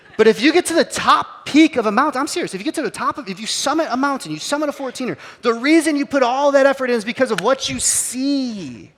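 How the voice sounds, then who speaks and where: Amid noticeable background noise, a man speaks at a very fast pace with hardly any pauses, in an animated tone at an extremely high pitch with ordinary pitch variation. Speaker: pastor. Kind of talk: sermon. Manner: casual, animated.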